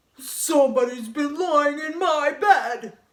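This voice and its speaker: A put-on character voice growls at a high pitch and a fairly slow pace. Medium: read story.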